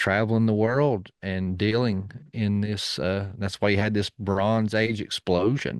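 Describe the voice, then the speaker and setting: A man's fairly low voice with an East Tennessee accent and fairly even intonation, in a dry, close sound with no echo and a quiet background. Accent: Southern US (East Tennessee). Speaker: podcast guest. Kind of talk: casual chat.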